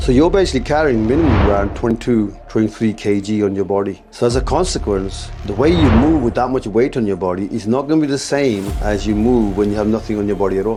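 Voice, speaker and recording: A man talks at a very fast pace over music in the background. His pitch is fairly low, with ordinary variation. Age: 60s. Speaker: martial arts master. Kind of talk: interview.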